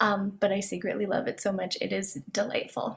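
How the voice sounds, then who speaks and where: A woman with a West Coast US accent talks at a moderate pace. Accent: General American, West Coast. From Southern California, San Diego. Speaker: divinity student. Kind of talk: panel discussion.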